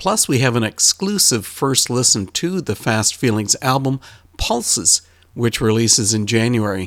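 A man with a plain, everyday voice talks at a medium pitch and a moderate pace, with lively intonation. His loudness stays very even in a dry, close sound with no echo. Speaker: podcast host. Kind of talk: interview.

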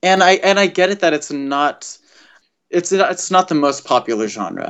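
A man talks with an American accent. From US West Coast, Los Angeles. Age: 20s. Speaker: musician. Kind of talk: interview.

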